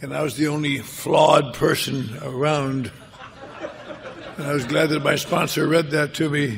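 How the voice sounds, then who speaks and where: A man with a fairly high pitch speaks at a moderate pace, his intonation fairly even. Long, frequent pauses break up his speech, and background noise is noticeable. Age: 80s+. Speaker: recovering alcoholic speaker. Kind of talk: personal recovery talk to an audience.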